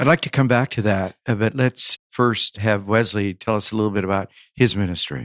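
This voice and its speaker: A man with an unremarkable speaking voice talks fairly quickly at a fairly low pitch with ordinary pitch variation. The sound is dry and close, with no echo. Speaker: podcast interviewer. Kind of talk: interview conversation. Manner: formal.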